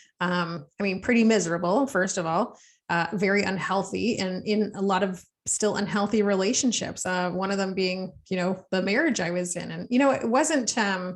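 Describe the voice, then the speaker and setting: In a Canadian accent, a woman with a medium pitch and ordinary pitch variation speaks at a moderate pace in a normal speaking voice, with a quiet background. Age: mother. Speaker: podcast host, recovering alcoholic. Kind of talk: interview.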